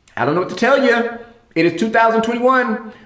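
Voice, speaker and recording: With audible room echo, a man speaks fast-ish and high-pitched, his tone animated and his intonation lively. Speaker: talk show host. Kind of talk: solo entertainment commentary vlog.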